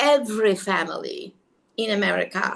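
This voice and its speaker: The woman speaks with a non-native accent. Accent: foreign. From outside the US. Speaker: network marketing presenter. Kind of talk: video call presentation.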